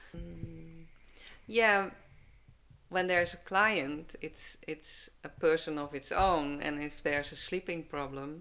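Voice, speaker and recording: Over music in the background, a woman with a Dutch accent and a very deep, low pitch talks at a fairly slow pace with ordinary pitch variation. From Netherlands. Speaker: herbalist. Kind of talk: podcast interview answer.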